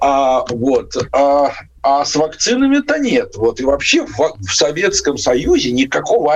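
Noticeable background noise runs through this clip. The voice belongs to a man. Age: 60s. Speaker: infectious disease doctor. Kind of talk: radio interview. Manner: halting.

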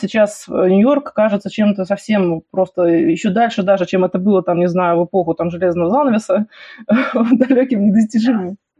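At a fairly quick pace, a woman speaks in a somewhat breathy, medium-pitched voice with ordinary pitch variation. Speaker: podcast host. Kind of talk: interview. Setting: remote call.

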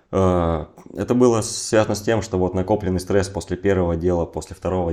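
The tone of this voice is dark and mellow. Its pitch varies in an ordinary way. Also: man. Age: 20s. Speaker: entrepreneur. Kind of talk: casual interview.

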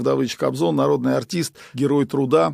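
On a very clean recording with a silent background and a dry, close sound with no echo, a man talks with vocal fry and lively intonation. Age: 60s. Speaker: composer and union chairman. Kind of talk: interview.

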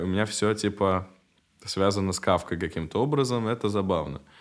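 Very deep, low male voice, captured in a very clean recording against a silent background. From Saint Petersburg, Russia and Prague, Czechia. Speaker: rapper and musician. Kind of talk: casual chat.

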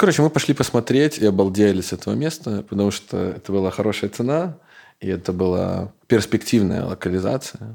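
Over a silent background in a very clean recording, a man talks at a fairly quick pace, his fairly low voice dark and mellow in tone. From Belarus. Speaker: bar owner, entrepreneur. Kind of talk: casual interview chat.

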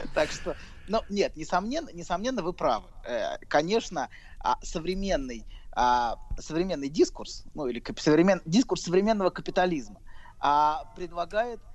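This man talks at a moderate pace in a high pitch, his intonation lively. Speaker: psychologist. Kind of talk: casual chat.

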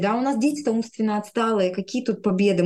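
A woman speaks with an unremarkable speaking voice. Her pitch is medium, with ordinary variation. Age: 30s. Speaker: speech therapist. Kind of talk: interview storytelling.

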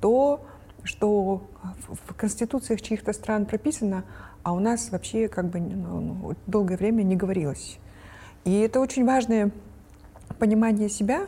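This woman has a medium pitch and ordinary pitch variation. She speaks at a fairly slow pace, with long, frequent pauses. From Kyrgyzstan. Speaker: researcher. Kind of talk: casual panel discussion.

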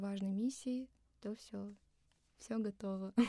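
A woman speaks at a medium pitch with a dark, mellow tone that is somewhat breathy. Her intonation stays fairly even. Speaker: singer. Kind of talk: casual chat. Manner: soothing.

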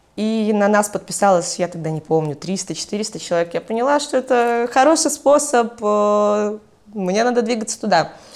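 Using an ordinary speaking voice, a woman with a fairly high pitch talks at a fairly slow pace with lively intonation and hardly any pauses. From Belarus, Mogilev. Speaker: entrepreneur and blogger. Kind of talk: casual interview.

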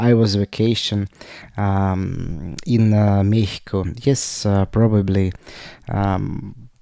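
On a very clean recording with a silent background, a man with a fairly low pitch talks at a very slow pace with fairly even intonation. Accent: Russian. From Russia. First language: Russian. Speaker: podcaster. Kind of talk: personal monologue. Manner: halting.

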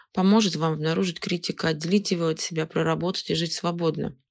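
Very fast speech comes from a woman with a fairly low pitch and fairly even intonation, recorded very cleanly over a silent background. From Siberia, Russia (Novokuznetsk). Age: 30s. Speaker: psychologist. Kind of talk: expert talk.

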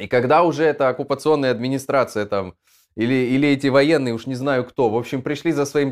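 With a normal speaking voice, the speaker talks at a fairly quick pace with lively intonation. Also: man. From Moldova. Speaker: stream host. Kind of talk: live stream chat with news commentary and viewer comments. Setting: online live stream studio.

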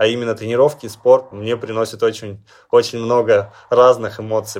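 Against a quiet background, a man with a medium pitch speaks at a moderate pace in a flat, monotone delivery. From Russia, Chelyabinsk region. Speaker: Paralympic cyclist. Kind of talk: interview. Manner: hesitant.

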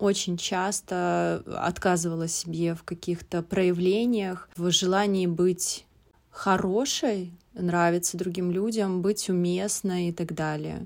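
In a very clean recording with a silent background, a woman speaks at a very slow pace. Her pitch is medium and her intonation fairly even. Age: 30s. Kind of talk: recorded monologue. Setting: hotel room in a forest resort, sitting on the floor.

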